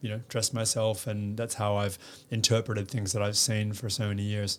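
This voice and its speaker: A man's fairly low, monotone, flat voice in an Australian accent, on a very clean recording with a silent background. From Western Australia, Perth. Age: 30s. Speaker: fashion influencer and sustainability advocate. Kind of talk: casual interview. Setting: studio.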